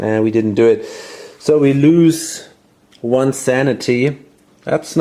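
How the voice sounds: The voice reads naturally. Its delivery sounds like a natural reading voice.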